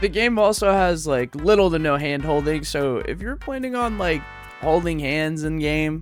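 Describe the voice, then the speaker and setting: A man's voice with music in the background. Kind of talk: casual gaming commentary video narration.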